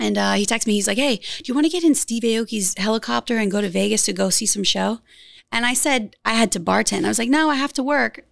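In a very clean recording with a silent background, a woman with an American accent and a fairly high pitch talks at a very fast pace with vocal fry. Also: ordinary pitch variation. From US South, rural Louisiana. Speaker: model and influencer. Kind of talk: casual interview chat.

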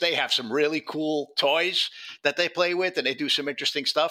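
In a strong New York accent, a man speaks with a bright, sharp tone. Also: very clean recording, silent background. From New York City (Bronx). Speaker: former ATF agent and whistleblower. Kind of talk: casual interview.

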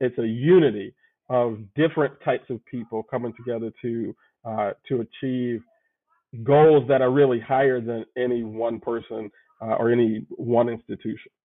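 With fairly even intonation and a medium pitch, a man speaks in an unremarkable speaking voice at a moderate pace. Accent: American. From Chicago. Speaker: pastor. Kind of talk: interview conversation.

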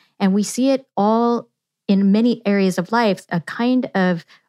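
With a Californian accent, the speaker goes at a fairly slow pace with ordinary pitch variation. The sound is dry and close with no echo, on a very clean recording with a silent background. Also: woman. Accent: Californian American. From Yuba City, rural California. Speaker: political science professor. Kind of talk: interview.

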